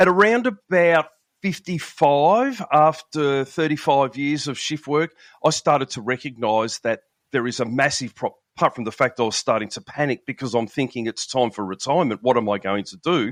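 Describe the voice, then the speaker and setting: Over a quiet background, a man with an Australian accent speaks at a moderate pace in a fairly high pitch, his intonation lively and the sound dry and close with no echo. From Australia, Melbourne. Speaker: police veteran and nutrition coach. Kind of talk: podcast interview.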